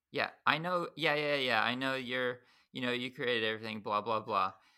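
Bright and sharp in tone, the voice shows ordinary pitch variation. Behind it the background is silent, and the recording is very clean. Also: man. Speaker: podcast host. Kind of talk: casual interview conversation. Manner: talkative, filler words, informal.

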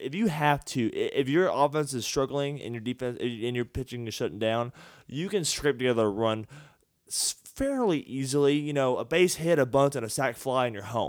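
With a Texas accent, a man talks at a fairly quick pace with ordinary pitch variation on a very clean recording with a silent background. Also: medium pitch for a man. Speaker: sports podcast host. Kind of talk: casual chat. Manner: halting, repeats words.

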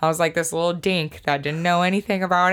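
A woman talks at a fairly quick pace with a Pacific Northwest accent. The recording is very clean, with a silent background. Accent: Pacific Northwest American. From Washington State, Snohomish area. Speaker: DJ and music producer. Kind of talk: casual chat.

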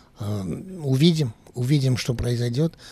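A somewhat breathy man with lively intonation at a fairly slow pace, in a dry, close sound with no echo. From France, Paris. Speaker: journalist. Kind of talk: interview. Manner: hesitant.

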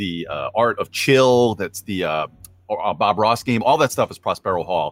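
A man with an ordinary speaking voice uses lively intonation at a medium pitch, the sound dry and close with no echo. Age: middle-aged. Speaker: board game reviewer. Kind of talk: casual chat.

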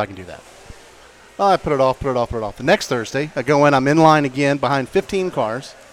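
Over noticeable background noise, a man with an American accent and medium pitch talks very fast with lively intonation. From St. Augustine, Florida. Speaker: media business owner. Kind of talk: casual chat. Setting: restaurant bar recording.

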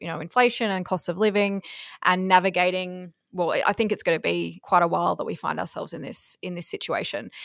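In a very clean recording with a silent background, a woman with an Australian accent speaks at a medium pitch with fairly even intonation. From southeast Queensland, Australia. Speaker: farmer and agriculture network chair. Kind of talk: interview.

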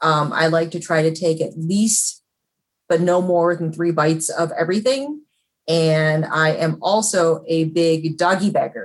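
An unremarkable speaking voice, a woman with an American accent at a fairly low pitch, moderate pace and ordinary pitch variation. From Chicago. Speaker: food critic. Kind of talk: panel talk. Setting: video call.

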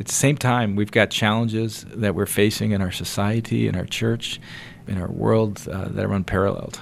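A man's plain, everyday voice, fairly low in pitch, with fairly even intonation at a moderate pace. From US East Coast (Connecticut, New Jersey). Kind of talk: casual interview.

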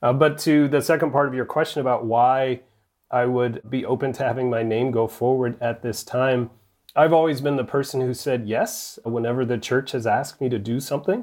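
A man with an American accent speaks in an unremarkable speaking voice, medium in pitch and fairly even in intonation. His pace is fairly quick, and the background is quiet. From US South, rural North Alabama. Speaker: bishop. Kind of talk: interview.

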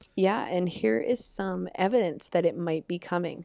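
A woman speaks at a medium pitch with an American accent and ordinary pitch variation. Her pace is fairly slow, and the background is quiet. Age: young. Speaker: podcast co-host, community college student. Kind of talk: casual chat.

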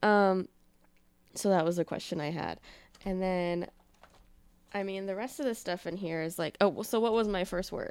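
Recorded very cleanly against a silent background, the speech moves at a moderate pace with long, frequent pauses and ordinary pitch variation. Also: woman, medium pitch for a woman. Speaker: podcast host and YouTuber. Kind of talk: casual chat.

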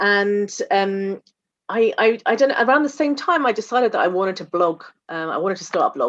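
Over a quiet background, a woman with a British accent talks at a very fast pace and a medium pitch. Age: 40s. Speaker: general practitioner doctor. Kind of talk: interview conversation.

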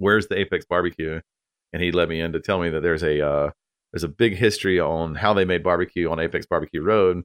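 A man with a North Carolina accent speaks in a very deep, low pitch with fairly even intonation. The recording is very clean, with a silent background. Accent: North Carolina Southern US. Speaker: barbecue restaurant owner. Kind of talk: casual interview.

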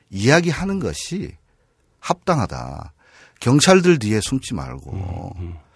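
A man speaks very slowly in a fairly low voice with vocal fry and very wide pitch swings, leaving long, frequent pauses. The recording is very clean, with a silent background. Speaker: railway union leader. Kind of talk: interview.

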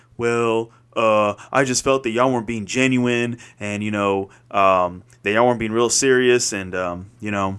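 An unremarkable speaking voice from a man with an American accent, medium in pitch, at a moderate pace with fairly even intonation. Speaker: podcast co-host. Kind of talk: casual chat.

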